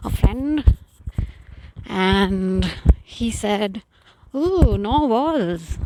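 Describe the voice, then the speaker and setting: Mumbling from a woman at a medium pitch, with noticeable background noise. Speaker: vlogger. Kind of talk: casual walking vlog narration. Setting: outdoors.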